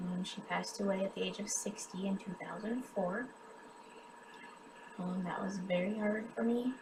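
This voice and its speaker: Audible room echo surrounds a woman with a US Midwestern accent, whose medium pitch shows ordinary variation. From US Midwest, western Kansas. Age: 30s. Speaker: cancer patient and charity drive host. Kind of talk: personal testimony. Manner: halting, many filler ums.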